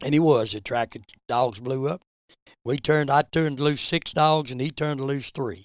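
A fairly high-pitched man with an Appalachian accent, ordinary pitch variation and a dry, close sound with no echo. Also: moderate pace. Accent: Appalachian Southern US. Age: 70s. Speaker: veteran bear hunter. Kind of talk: interview storytelling.

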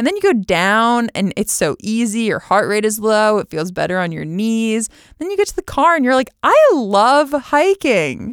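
A woman with an American accent talks at a moderate pace and a fairly high pitch, her pitch swinging very widely. The very clean recording has a silent background and a dry, close sound with no echo. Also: hardly any pauses. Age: 30s. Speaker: olympic rower and podcast host. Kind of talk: personal monologue.

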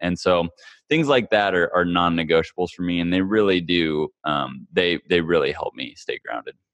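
With a Midwestern American accent, a man talks at a moderate pace in a very deep, low pitch. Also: ordinary pitch variation. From Kansas, US Midwest. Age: 20s. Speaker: former pro golfer and development coach. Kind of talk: interview.

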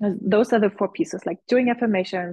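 A woman speaks in an ordinary speaking voice at a moderate pace. Her intonation stays fairly even. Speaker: visibility coach and business mentor. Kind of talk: casual interview.

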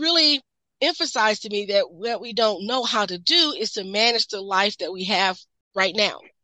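Speaking in an American accent with a plain, everyday voice, a woman talks at a fairly slow pace in a fairly high pitch with lively intonation. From US Midwest. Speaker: nurse practitioner. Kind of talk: interview.

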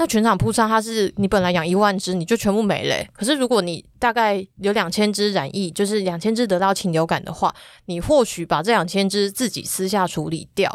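A woman speaks in an ordinary speaking voice at a fairly quick pace. Her pitch is medium with ordinary pitch variation, on a very clean recording with a silent background. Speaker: agriculture reporter. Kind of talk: podcast interview.

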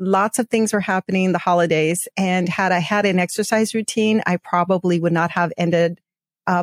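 This is a normal speaking voice with very even loudness, fairly even intonation and a moderate pace. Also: woman. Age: 50s. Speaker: podcast host. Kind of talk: casual chat.

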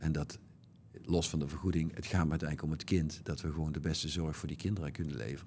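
With a very deep, low pitch and vocal fry, a man talks at a very fast pace and fairly even intonation. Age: 50s. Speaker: bariatric surgeon. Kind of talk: interview.

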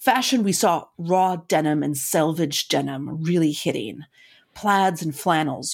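A woman with an American accent and an unremarkable speaking voice, fairly low pitch, lively intonation, and a fairly slow pace, in a very clean recording with a silent background. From US Midwest (Madison, Wisconsin). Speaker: podcast co-host. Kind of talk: casual chat.

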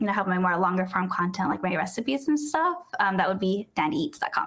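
A woman's medium-pitched voice with lively intonation and an American accent. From San Diego, California. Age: 20s. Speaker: food content creator. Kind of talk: casual interview.

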